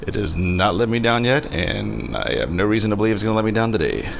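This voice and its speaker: Quiet and fairly low-pitched, a man talks at a moderate pace over noticeable background noise and audible room echo. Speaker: home brewer, video host. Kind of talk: tutorial. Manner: quiet, low volume.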